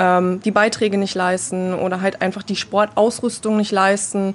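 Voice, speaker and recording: This woman has a plain, everyday voice at a medium pitch. She talks at a moderate pace with fairly even intonation. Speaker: women's football player. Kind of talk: group interview.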